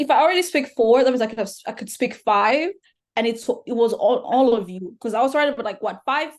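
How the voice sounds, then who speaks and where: A woman talks at a very fast pace with lively intonation and a high pitch. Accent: Rwandan. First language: Kinyarwanda. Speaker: podcast guest. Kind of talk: casual chat.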